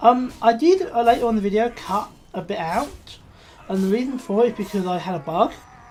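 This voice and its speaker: With a Scottish accent, a woman talks at a fairly quick pace in a fairly high pitch, her intonation lively and her tone animated. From Scotland. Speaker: gaming YouTuber. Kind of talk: let's play commentary.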